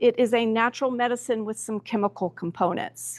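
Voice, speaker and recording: A woman at a moderate pace against a quiet background, the sound dry and close with no echo. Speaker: acupuncture doctor presenting a session. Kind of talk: lecture. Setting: live expo session with audience. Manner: loud, projecting without microphone; hesitant, many fillers.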